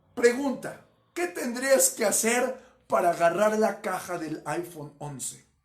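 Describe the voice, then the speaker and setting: A man speaks at a fairly slow pace in a high voice, his pitch swinging very widely and his loudness rising and falling sharply. Audible echo from the room surrounds him. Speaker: pastor. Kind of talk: sermon.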